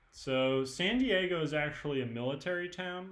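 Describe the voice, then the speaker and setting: A man with a Californian accent at a fairly slow pace, audible room echo around him. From California, San Mateo. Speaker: student presenter. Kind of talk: online presentation with audience questions. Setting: live stream. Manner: casual, many fillers.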